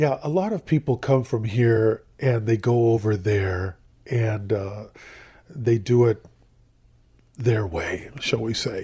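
In a very clean recording with a silent background, a man with an American accent speaks at a very slow pace with long, frequent pauses, his medium-pitched voice somewhat breathy and dark and mellow in tone, with ordinary pitch variation. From US, Southern California. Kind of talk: interview.

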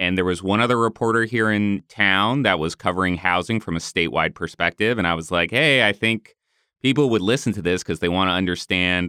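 A man's very deep, low voice with a bright, sharp tone and ordinary pitch variation, in a dry, close sound with no echo. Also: very clean recording, silent background. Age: 30s. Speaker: housing journalist and podcast host. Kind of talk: interview.

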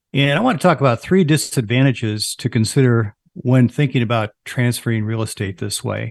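In a normal speaking voice, a man at medium pitch talks at a fairly quick pace with hardly any pauses and ordinary pitch variation, the sound dry and close with no echo against a quiet background. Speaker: financial advisor. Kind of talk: radio show discussion.

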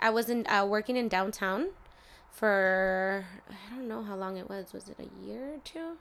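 A woman of medium pitch with an American accent, an ordinary speaking voice, ordinary pitch variation and big swings in loudness. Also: moderate pace, very clean recording, silent background. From US, Mexican family. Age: 20s. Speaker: barber. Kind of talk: casual interview chat.

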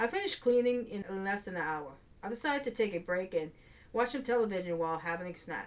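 Natural voice, reading aloud

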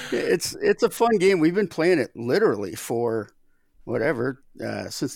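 A man's voice comes through on a very clean recording with a silent background. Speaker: baseball podcast co-host. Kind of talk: casual chat. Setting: studio. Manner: jokey.

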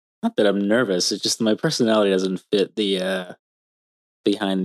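The dry, close sound with no echo carries a man's very deep, low pitch, delivered at a moderate pace with fairly even intonation. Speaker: podcast guest interviewer, host's husband. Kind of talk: casual interview. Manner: mild-mannered.

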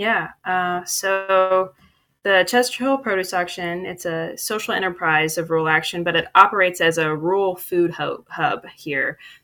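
Music plays in the background. The speaker has a Midwestern American accent. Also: woman, medium pitch for a woman, ordinary pitch variation, fairly slow pace. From Dayton, Ohio. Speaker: community development worker. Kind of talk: casual interview.

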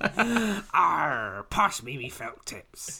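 A put-on character voice, raspy and at a middle pitch, carries the lines. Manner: mock-piratical, humorous.

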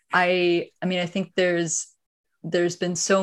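A woman with a Canadian accent at a moderate pace. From Canada, Ottawa area. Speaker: tech startup founder and CEO. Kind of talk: interview.

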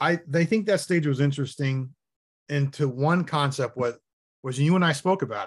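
A man's fairly high, somewhat breathy voice with ordinary pitch variation. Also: moderate pace. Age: 50s. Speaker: competitive shooter. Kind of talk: casual chat. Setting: video call.

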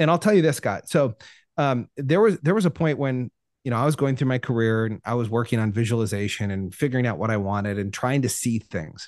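A man with a West Coast US accent speaks at a fairly quick pace with lively intonation against a quiet background. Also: medium pitch for a man. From Oregon, US Pacific Northwest. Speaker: life coach and speaker. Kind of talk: casual interview chat. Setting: remote call.

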